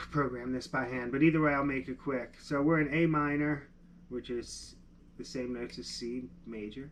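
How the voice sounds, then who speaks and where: With a Philadelphia accent, a man talks at a moderate pace and medium pitch with fairly even intonation, over light background noise. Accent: Delaware County, Pennsylvania. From Pennsylvania. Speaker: music producer. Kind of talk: live-stream tutorial. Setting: live stream. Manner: casual, thinking aloud. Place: studio.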